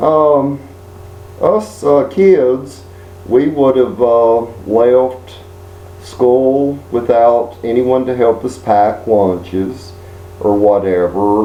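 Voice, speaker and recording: A man with an American accent speaks at medium pitch with ordinary pitch variation. Noticeable background noise and audible room echo surround him. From Texas, Houston area. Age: 50s. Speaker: video blogger. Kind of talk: personal monologue. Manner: halting, many fillers.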